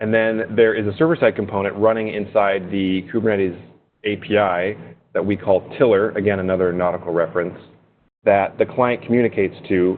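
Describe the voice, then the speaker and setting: In a plain, everyday voice, a man speaks fairly quickly at a fairly low pitch with fairly even intonation. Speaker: software engineer. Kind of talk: webinar presentation. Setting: webinar.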